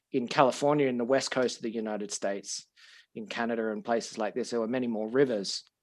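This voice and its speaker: This man speaks fairly quickly with an Australian accent, a medium pitch and fairly even intonation. The recording is very clean, with a silent background. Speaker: podcast host and language school owner. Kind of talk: casual interview chat. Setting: studio.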